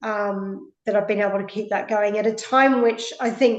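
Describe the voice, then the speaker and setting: A woman speaks with an Australian accent at a fairly high pitch. Her pace is moderate. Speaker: physiotherapist. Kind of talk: interview. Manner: hesitant, many fillers.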